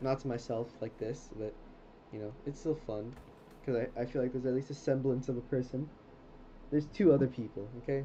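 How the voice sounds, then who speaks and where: A man with a medium-pitched, somewhat breathy voice speaks in a dark, mellow tone with fairly even intonation. His pace is fairly quick, broken by long, frequent pauses. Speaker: video game streamer. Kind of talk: casual gameplay commentary. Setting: livestream at home. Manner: chatty, talkative.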